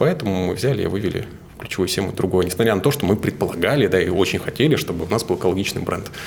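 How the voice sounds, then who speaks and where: Lively intonation carries this very fast speech through noticeable background noise. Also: man, very deep, low pitch for a man. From Siberia, Novosibirsk region (Suzun). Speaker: marketing agency director. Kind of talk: interview.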